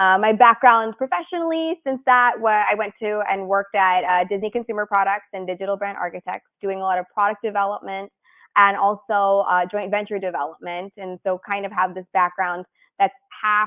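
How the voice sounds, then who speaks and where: Here is a woman with an unremarkable speaking voice at a medium pitch. She talks at a fairly quick pace with ordinary pitch variation. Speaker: design studio founder. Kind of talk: presentation.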